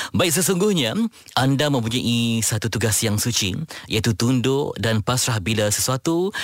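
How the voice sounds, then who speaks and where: Speaking at a fairly slow pace, a man uses a plain, everyday voice at medium pitch with lively intonation. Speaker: radio host. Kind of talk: radio talk show; reflective monologue.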